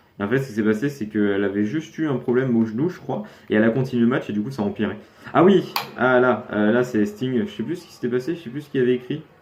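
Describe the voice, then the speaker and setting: Over noticeable background noise, a man talks very fast at a medium pitch with lively intonation. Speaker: youtuber reacting to videos. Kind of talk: casual video reaction commentary. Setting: facecam recording at home. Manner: halting, stuttering.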